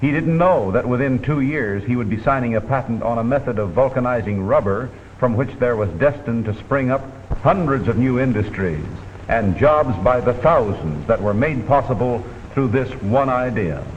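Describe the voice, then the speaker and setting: There is noticeable background noise behind this man. His voice sits at a medium pitch with ordinary pitch variation. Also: moderate pace. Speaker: newsreel commentator. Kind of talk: vintage documentary narration. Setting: studio.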